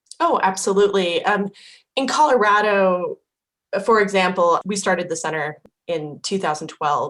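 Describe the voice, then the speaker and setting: A woman with an American accent has an ordinary speaking voice at a medium pitch. She talks at a moderate pace with ordinary pitch variation. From Idaho. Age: 40s. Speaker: impact investing educator. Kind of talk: interview.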